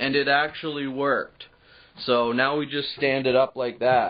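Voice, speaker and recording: The man delivers his words at a fairly slow pace. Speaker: vlogger giving a garage tour. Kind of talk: casual vlog chat. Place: garage. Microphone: phone near.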